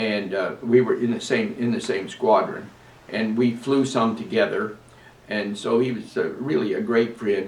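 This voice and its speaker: A man talks at a moderate pace and a medium pitch, with ordinary pitch variation. Audible room echo surrounds his voice. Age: 90s. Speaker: navy veteran. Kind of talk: interview. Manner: halting.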